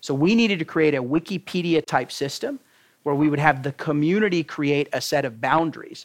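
An ordinary speaking voice from a man with an American accent, fairly high in pitch with ordinary pitch variation, moderate in pace, in a very clean recording with a silent background and dry, close sound with no echo. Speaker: tech startup CEO. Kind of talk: guest lecture and interview. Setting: university classroom with audience.

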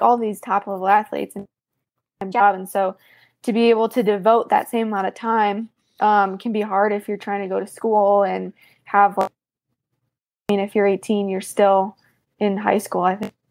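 Her intonation is flat and monotone. The woman's voice sits at a medium pitch. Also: long, frequent pauses. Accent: American. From US Midwest. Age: 20s. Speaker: CrossFit athlete. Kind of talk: casual interview. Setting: video call.

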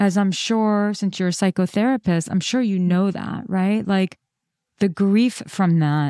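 A woman with an American accent and a dark, mellow tone at medium pitch, in a dry, close sound with no echo on a very clean recording with a silent background. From New York. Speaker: relationship coach, podcast host. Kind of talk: live coaching conversation. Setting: call. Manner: gentle.

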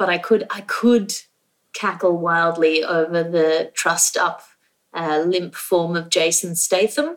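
Her pitch fairly low and her intonation fairly even, a woman speaks at a fairly slow pace. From Australia. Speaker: comedian and podcast host. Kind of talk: casual comedy game show banter. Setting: remote recording from Australia.

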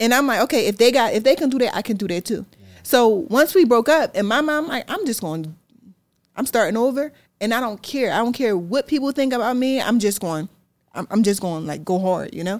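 Speech at a fairly quick pace with lively intonation and an animated tone comes through in a very clean recording with a silent background. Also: woman, fairly high pitch for a woman. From Philadelphia, US. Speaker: fashion entrepreneur. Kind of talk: interview.

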